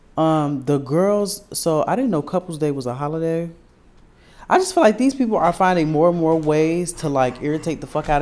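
This is a plain, everyday voice. It moves at a moderate pace with ordinary pitch variation. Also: man. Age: 20s. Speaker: podcast co-host. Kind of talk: casual chat.

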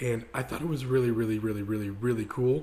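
A man talks with ordinary pitch variation. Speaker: podcast host. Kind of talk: casual chat. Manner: animated.

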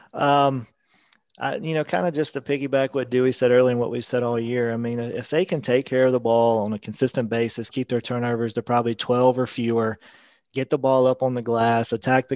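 A man speaks at a moderate pace in a medium pitch, his intonation flat and monotone. The sound is dry and close with no echo, over a quiet background. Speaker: sports podcast guest analyst. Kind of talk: casual sports talk.

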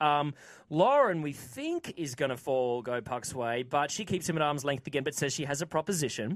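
In a very clean recording with a silent background, a man speaks in an ordinary speaking voice. His pitch is fairly high, with ordinary variation, at a moderate pace. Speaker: TV show recap host. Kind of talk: casual chat. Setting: studio.

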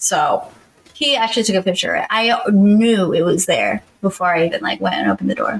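Lively intonation marks this woman's speech. She sounds somewhat breathy. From US South, Georgia. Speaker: podcast co-host. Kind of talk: casual chat.

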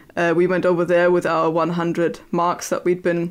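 A woman's flat, monotone delivery in a German accent, fairly low in pitch and fairly quick, over a quiet background. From Germany, near Berlin (former East). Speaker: historian and podcast co-host. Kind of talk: casual chat. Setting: remote recording. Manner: hesitant, frequent fillers.

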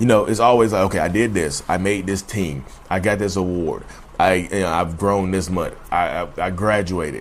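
A man's very deep, low voice with fairly even intonation, in a Southern US accent. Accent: Southern US drawl. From North Carolina. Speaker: mental health podcaster. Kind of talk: casual monologue. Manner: fast talker.

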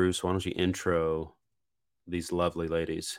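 The pace here is fairly slow. It is delivered with an American accent. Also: man. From North Carolina. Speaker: podcast co-host. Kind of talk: casual chat. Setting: video call.

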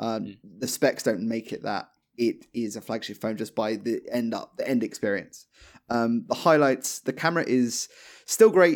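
The recording is very clean, with a silent background. A man speaks in a plain, everyday voice at medium pitch and a moderate pace, with ordinary pitch variation. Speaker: tech reviewer. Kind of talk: casual chat.

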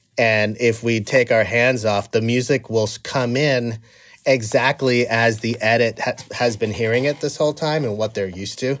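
In a normal speaking voice, a man talks at medium pitch and a moderate pace with fairly even intonation, on a very clean recording with a silent background. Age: 40s. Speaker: film and TV composer. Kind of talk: casual interview.

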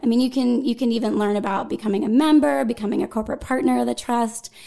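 High-pitched, a woman speaks with a western Pennsylvania accent over noticeable background noise. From western Pennsylvania (Greensburg). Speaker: arts nonprofit events director. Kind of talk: casual interview. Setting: studio.

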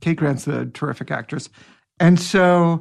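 A man's normal speaking voice, fairly high in pitch and fairly quick in pace. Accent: American. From US Pacific Northwest (Seattle area). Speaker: actor. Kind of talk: casual chat.

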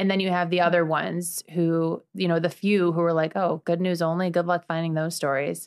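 Speaking fairly quickly with an American accent, a woman with a fairly low voice keeps a monotone, flat intonation, very even loudness and hardly any pauses. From Chicago, US Midwest. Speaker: former TV news anchor, nonprofit founder. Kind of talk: casual interview chat.

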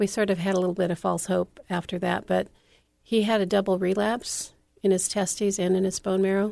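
A woman with an American accent, dark, mellow tone, monotone, flat intonation and very even loudness. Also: medium pitch for a woman, fairly quick pace. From California. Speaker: author and TV producer. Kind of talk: interview. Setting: radio show.

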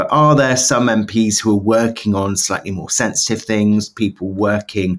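With a British accent, a man speaks at a fairly low pitch and a moderate pace with ordinary pitch variation. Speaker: political journalist. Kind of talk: casual chat.

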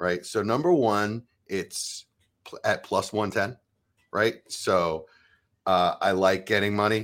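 On a very clean recording with a silent background, a man with an ordinary speaking voice talks at a fairly low pitch with ordinary pitch variation. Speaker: fantasy football podcaster. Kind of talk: casual chat.

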